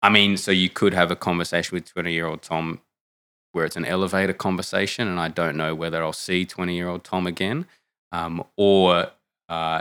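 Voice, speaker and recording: A bright, sharp tone with an Australian accent, fairly quick pace and fairly even intonation, in a dry, close sound with no echo. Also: man, very clean recording, silent background. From Australia, Canberra. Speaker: theology student. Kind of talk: interview.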